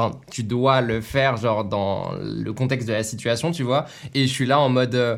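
At a moderate pace, a man with a plain, everyday voice speaks at medium pitch with fairly even intonation. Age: 20s. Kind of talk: casual chat.

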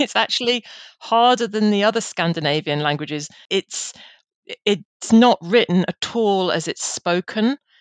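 With an English accent, a woman of medium pitch talks at a fairly slow pace with lively intonation, in a dry, close sound with no echo. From England. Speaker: careers editor. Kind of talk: interview. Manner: fluent, articulate.

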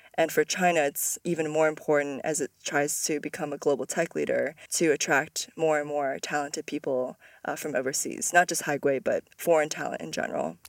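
In a very clean recording with a silent background and a dry, close sound with no echo, a woman speaks at a very deep, low pitch and a fairly quick pace, with fairly even intonation and hardly any pauses. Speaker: podcast host. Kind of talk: interview podcast conversation.

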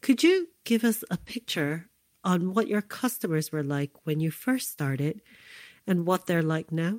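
In a plain, everyday voice with an American accent, a woman talks at a fairly slow pace and fairly low pitch with lively intonation, her dry, close sound free of echo on a very clean recording with a silent background. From US, New York City (Lower East Side). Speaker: podcast host. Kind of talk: storytelling narration.

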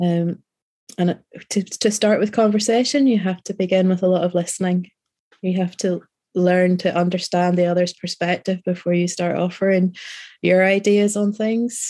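A Northern Irish accent in a dark, mellow tone, with fairly even intonation at a moderate pace. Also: woman, medium pitch for a woman. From Northern Ireland, rural. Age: 40s. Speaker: novelist. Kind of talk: interview.

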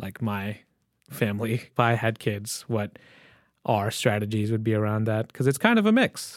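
Recorded very cleanly over a silent background, a man with an ordinary speaking voice talks at medium pitch and a moderate pace. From Michigan. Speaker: podcast host. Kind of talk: casual chat.

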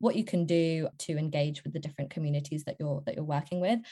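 With a British accent, a woman speaks in a dark, mellow tone. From Serbia, moved to UK at eight. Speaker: recruiter. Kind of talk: interview.

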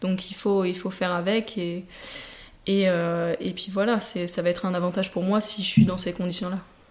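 Heard over noticeable background noise, the speaker talks at a moderate pace in a flat, monotone delivery. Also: woman, medium pitch for a woman. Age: 20s. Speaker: telemark ski athlete. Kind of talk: interview. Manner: halting.

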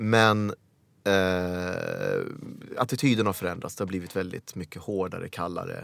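On a very clean recording with a silent background, a man speaks fairly slowly in a plain, everyday voice with fairly even intonation. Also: fairly low pitch for a man. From Sweden, Helsingborg (born in Uganda). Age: 40s. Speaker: actor. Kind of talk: casual chat.

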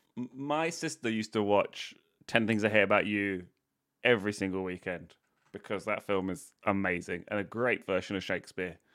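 At a moderate pace and with ordinary pitch variation, a man speaks in a plain, everyday voice. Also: fairly low pitch for a man, very clean recording, silent background. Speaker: comedian and podcast co-host. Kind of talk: casual comedic banter in a quiz game show.

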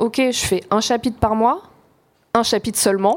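A woman speaks with fairly high pitch. Her pace is moderate and her intonation fairly even. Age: 40s. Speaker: journalist and author. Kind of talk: live panel discussion. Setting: stage with audience.

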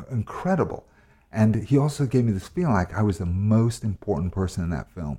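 This man has an American accent, a fairly low pitch, and a dark, mellow tone with a somewhat breathy edge. He moves at a fairly quick pace with lively intonation. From United States (born in Wales). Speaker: actor. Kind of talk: casual interview chat.

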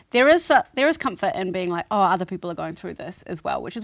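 Lively intonation marks this woman's medium-pitched voice. The recording is very clean, with a silent background. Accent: New Zealand. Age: 30s. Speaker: podcast co-host. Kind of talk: casual chat.

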